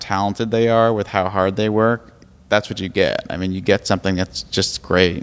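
In an American accent, a man talks at a fairly low pitch. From Brookline, Massachusetts (Boston suburb). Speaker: TV comedy writer. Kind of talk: casual interview chat. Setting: host's apartment. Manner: halting, many fillers.

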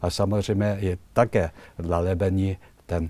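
Very slowly and with fairly even intonation, a man with a very deep, low pitch speaks in a Chinese accent. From China. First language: Chinese (speaking Czech). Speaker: ambassador. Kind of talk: interview. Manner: halting.

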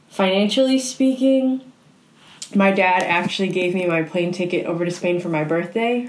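Noticeable background noise accompanies a woman speaking at a moderate pace. Her pitch is medium, with ordinary variation. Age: 20s. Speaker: university student and basketball player. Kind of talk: casual interview.

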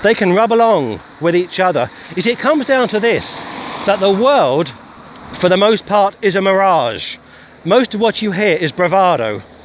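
Against noticeable background noise, a man with a high pitch speaks with lively intonation. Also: moderate pace, very even loudness. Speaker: street preacher. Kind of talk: sermon. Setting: outdoors, walking.

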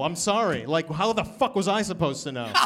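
A high-pitched man with an American accent at a fairly quick pace, music in the background. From US, Boston area. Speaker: comedian. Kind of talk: live podcast chat. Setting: stage with audience.

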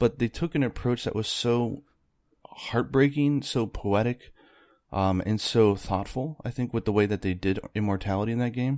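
A man with an ordinary speaking voice talks at a moderate pace and a medium pitch, with ordinary pitch variation. The recording is very clean, with a silent background. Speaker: video game developer and video creator. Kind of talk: casual interview chat.

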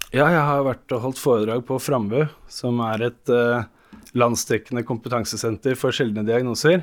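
A man's medium-pitched, ordinary speaking voice at a moderate pace, on a very clean recording with a silent background. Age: 30s. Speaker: plumber with haemophilia. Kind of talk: interview.

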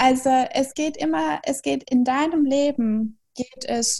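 Her high-pitched voice carries lively intonation as the woman speaks. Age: 20s. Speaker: German tutor and philosophical counselor. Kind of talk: interview.

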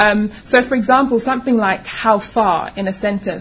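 At a moderate pace, a woman with a fairly high pitch and ordinary pitch variation speaks over noticeable background noise. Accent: London. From London. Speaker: publisher and founder of an online publishing company. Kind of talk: panel discussion. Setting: live panel with audience.

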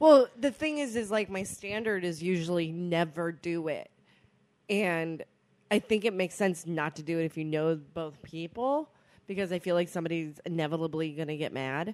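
A woman with an ordinary speaking voice talks at a moderate pace, her fairly low pitch showing ordinary pitch variation. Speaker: podcast co-host. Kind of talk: casual chat.

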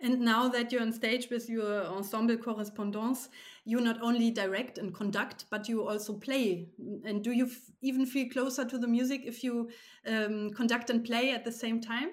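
A woman speaks with a German accent at a fairly high pitch. Her intonation stays fairly even at a moderate pace. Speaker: podcast host. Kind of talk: interview.

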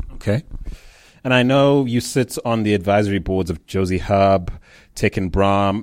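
A man with an unremarkable speaking voice, fairly low pitch and ordinary pitch variation at a moderate pace, very clean recording with a silent background. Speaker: interviewer. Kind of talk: interview.

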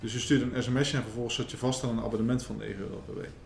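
At a very fast pace, a man talks at a medium pitch with audible room echo. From Netherlands, The Hague. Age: 30s. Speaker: entrepreneur, marketing company owner. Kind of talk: interview.

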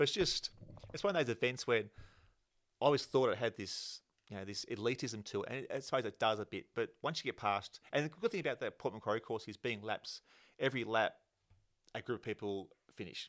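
A man with an Australian accent speaks at a medium pitch with ordinary pitch variation, leaving long, frequent pauses. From Australia, Penrith (western Sydney). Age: 40s. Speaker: amateur runner and triathlete. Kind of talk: casual chat. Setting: sharing one mic with host.

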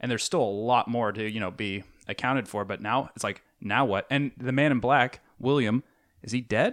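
Over a very clean recording with a silent background, a man with a plain, everyday voice speaks at a moderate pace and medium pitch with ordinary pitch variation. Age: 30s. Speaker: podcast co-host. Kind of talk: casual chat.

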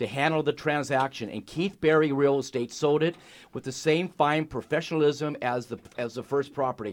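The speaking rate is middling, and the pitch shifts in the usual way. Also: man. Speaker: fill-in radio host. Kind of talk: radio talk show interview. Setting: radio studio. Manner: animated, effusive.

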